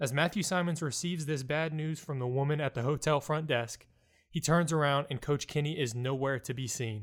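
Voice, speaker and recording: A man with an ordinary speaking voice talks at a fairly quick pace in a fairly high pitch, his intonation fairly even, on a very clean recording with a silent background. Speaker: audiobook narrator. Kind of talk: audiobook narration, literary reading aloud of a story. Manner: measured, steady storyteller pacing.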